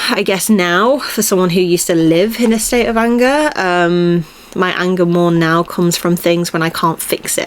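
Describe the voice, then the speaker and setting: A woman with a fairly low pitch speaks over noticeable background noise. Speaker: podcast host. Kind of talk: casual solo monologue. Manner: rambling, casual with filler words.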